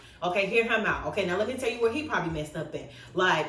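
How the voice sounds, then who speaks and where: A woman speaks very fast with lively intonation, with noticeable background noise and audible room echo around her. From Rockford, Illinois. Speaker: YouTube influencer. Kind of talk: casual interview chat. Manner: animated.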